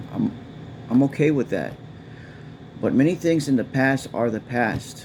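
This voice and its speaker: A man with an American accent speaks at a fairly slow pace, his pitch varying in an ordinary way. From Texas. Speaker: political vlogger. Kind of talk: casual monologue. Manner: halting.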